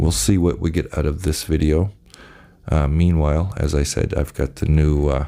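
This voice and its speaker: A soft-spoken man with a very deep, low pitch keeps his loudness very even. He leaves long, frequent pauses over noticeable background noise. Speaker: channel host giving commentary. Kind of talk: casual monologue to camera. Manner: soft-spoken, talking very low; halting, many fillers.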